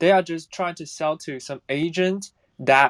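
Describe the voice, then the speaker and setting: A man with a Chinese accent speaks fairly slowly with fairly even intonation in a very clean recording with a silent background and a dry, close sound with no echo. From China. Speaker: audience member asking a question. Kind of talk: audience question. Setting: audio chat room. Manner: halting.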